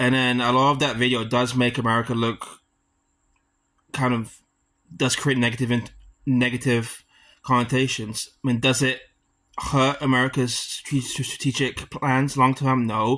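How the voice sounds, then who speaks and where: A man with a British accent speaks at a moderate pace and medium pitch in a monotone, flat delivery, his bright, sharp tone held at very even loudness, with long, frequent pauses over a quiet background. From UK. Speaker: student. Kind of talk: class debate presentation. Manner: halting.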